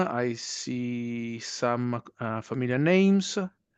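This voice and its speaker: Over a quiet background, a man with a non-native accent speaks at a medium pitch in a dry, close sound with no echo. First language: not English. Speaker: university lecturer. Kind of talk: webinar presentation. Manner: hesitant, many fillers.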